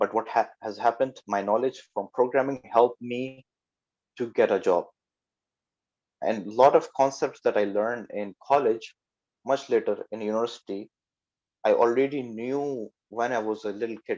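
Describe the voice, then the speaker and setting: Medium-pitched man with a non-native accent, fairly even intonation, a moderate pace and long, frequent pauses, over a quiet background. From Pakistan. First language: not English. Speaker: software developer. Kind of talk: talk to youth. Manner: halting.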